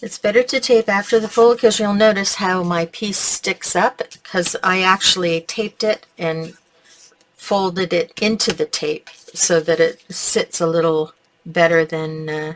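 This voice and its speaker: In a Canadian accent, a woman with a normal speaking voice talks at a fairly slow pace and medium pitch with ordinary pitch variation, her sound dry and close with no echo. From Canada. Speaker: crafting tutorial host. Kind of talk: tutorial. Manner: casual, chatty.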